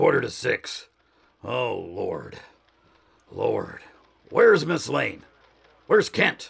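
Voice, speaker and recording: A man uses a put-on character voice that sounds raspy. He speaks very slowly, with long, frequent pauses. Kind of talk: 1940s radio acting. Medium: audio drama. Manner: excitable, gruff.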